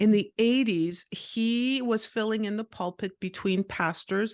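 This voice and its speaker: Lively intonation carries the speech at a fairly slow pace. The sound is dry and close with no echo, over a quiet background. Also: woman. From Canada, Montreal. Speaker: podcaster and author. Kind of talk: interview.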